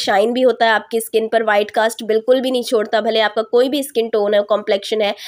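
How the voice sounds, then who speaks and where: A woman with a fairly high pitch speaks at a moderate pace. Her intonation is monotone and flat, on a very clean recording with a silent background. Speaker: beauty YouTuber. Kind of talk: product review. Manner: casual, chatty.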